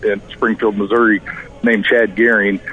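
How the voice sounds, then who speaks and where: A man at medium pitch, fairly quick in pace, with fairly even intonation and noticeable background noise. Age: 40s. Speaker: college football coach. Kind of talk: interview. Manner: hesitant, repeats words.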